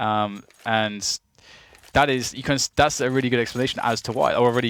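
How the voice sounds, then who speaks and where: A man speaks very fast at a medium pitch, in an English accent. The recording is very clean, with a silent background. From England. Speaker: esports commentator. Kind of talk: live commentary. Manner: animated.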